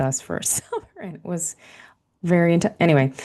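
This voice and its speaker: The tone is dark and mellow. Delivery runs at a fairly quick pace. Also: woman. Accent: American. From central New Jersey and Taipei, Taiwan. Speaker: author and leadership coach. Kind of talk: interview conversation.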